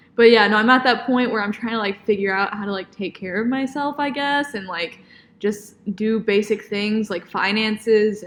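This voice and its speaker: A woman speaks at a moderate pace in a normal speaking voice, her pitch fairly high. Her intonation stays fairly even while her loudness swings widely. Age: 20s. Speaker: podcast co-host, dance student. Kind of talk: casual chat.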